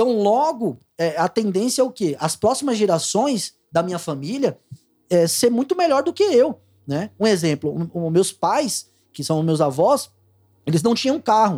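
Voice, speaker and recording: A man's high voice with a dark, mellow tone, fairly slow, with very wide pitch swings. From Pernambuco, Brazil (Abreu e Lima). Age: 30s. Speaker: data analyst. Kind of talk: casual chat. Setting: studio.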